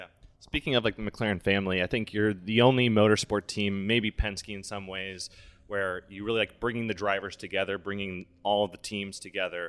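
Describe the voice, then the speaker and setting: A man with a Midwestern US accent, fairly low in pitch, monotone and flat, at a moderate pace, on a very clean recording with a silent background. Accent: US Midwest. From Indianapolis, US Midwest. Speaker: podcast host. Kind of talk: interview.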